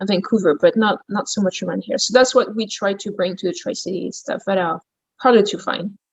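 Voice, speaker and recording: In a French accent, a woman speaks at a moderate pace and medium pitch with ordinary pitch variation. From France, Champagne region. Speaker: gourmet shop owner. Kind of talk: interview.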